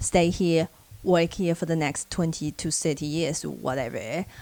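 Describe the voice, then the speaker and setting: A woman with a Chinese accent talks at a moderate pace with a fairly low pitch and ordinary pitch variation. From China. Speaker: social worker and vlogger. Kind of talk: casual advice vlog.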